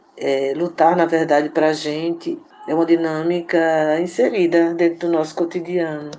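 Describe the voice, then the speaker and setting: A woman at a fairly slow pace with monotone, flat intonation, over noticeable background noise. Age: 50s. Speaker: community activist and radio organizer. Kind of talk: interview. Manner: halting.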